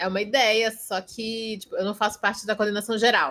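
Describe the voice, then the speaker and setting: At a moderate pace, a woman talks in a fairly high voice with ordinary pitch variation, a normal speaking voice. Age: 20s. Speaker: architect and anime event presenter. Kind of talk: casual chat. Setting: video call.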